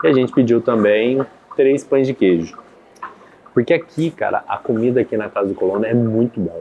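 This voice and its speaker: Amid noticeable background noise, a man talks with a medium pitch. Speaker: podcast host. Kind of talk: casual chat. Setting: café. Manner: animated.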